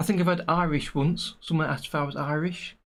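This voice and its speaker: The speaker is a man with an English accent. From English Midlands, near Nottingham. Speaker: animation tutor and streamer. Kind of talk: casual livestream chat. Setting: livestream.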